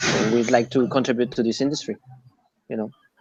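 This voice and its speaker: At a very fast pace, a man with a non-native accent speaks in a medium pitch with fairly even intonation, and the sound is dry and close with no echo. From France and Japan. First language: French or Japanese. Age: 30s. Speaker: recruitment agency owner. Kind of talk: interview. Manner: halting, many fillers.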